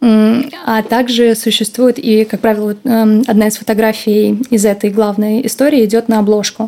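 A woman's dark, mellow voice, fairly high in pitch and fairly slow, with fairly even intonation, very even loudness and hardly any pauses. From Russia, St. Petersburg. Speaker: former fashion model and agent. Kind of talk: interview.

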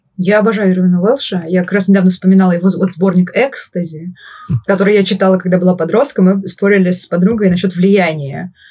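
At a very fast pace, a woman with a medium pitch sounds somewhat breathy and keeps her intonation fairly even. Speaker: podcast host. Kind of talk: casual interview conversation.

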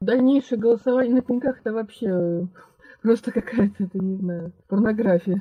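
With an unremarkable speaking voice, a woman talks at a moderate pace in a fairly high pitch. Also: ordinary pitch variation. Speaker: mother, former election observer. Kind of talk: personal testimony interview.

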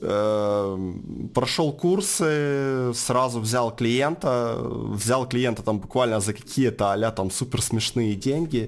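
A man of medium pitch with lively intonation, a very slow pace and very even loudness. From Ukraine, Donetsk. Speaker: marketing agency co-owner. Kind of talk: casual interview. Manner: hesitant, many fillers.

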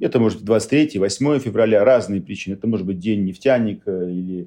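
A dark, mellow tone at a fairly quick pace, with ordinary pitch variation and a quiet background. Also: man. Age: 40s. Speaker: company CEO. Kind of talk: interview.

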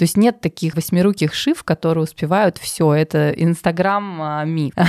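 A woman of fairly low pitch speaks with ordinary pitch variation in a dry, close sound with no echo. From Russia, Tver. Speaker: finance manager at a luxury brand. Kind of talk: interview. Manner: hesitant, many fillers.

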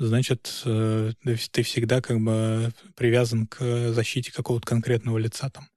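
A man speaks at a medium pitch in a monotone, flat way. The recording is very clean, with a silent background. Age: young. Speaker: lawyer and podcast host. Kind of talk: casual discussion.

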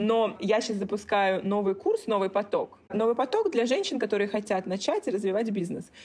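A woman's ordinary speaking voice, fairly high-pitched, with fairly even intonation and hardly any pauses. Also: moderate pace. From Russia, Kaliningrad. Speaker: business coach. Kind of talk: casual interview chat. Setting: remote call.

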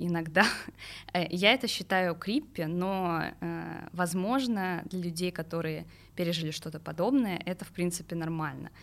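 On a very clean recording with a silent background, a woman uses a fairly low pitch, ordinary pitch variation and a fairly slow pace. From Moscow region, Russia. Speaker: journalist. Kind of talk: personal testimony interview. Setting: studio. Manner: hesitant, many fillers.

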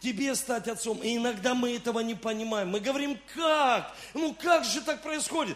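A man speaks at a moderate pace in an extremely high voice, animated in tone, with ordinary pitch variation. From Rostov-on-Don, southern Russia. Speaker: pastor. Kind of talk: sermon.

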